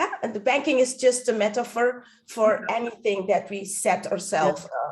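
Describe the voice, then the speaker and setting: The speaker is a woman. Vocal fry runs through her voice. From Netherlands. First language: Dutch. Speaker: stand-up comedian and speaking coach; voice-over artist. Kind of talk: interview answer.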